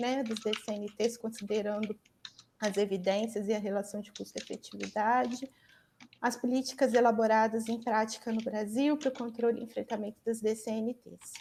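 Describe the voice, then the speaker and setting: A woman talks at a moderate pace in a fairly high pitch. Her tone is dark and mellow, and her intonation fairly even. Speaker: academic job candidate. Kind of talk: lecture. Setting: video call.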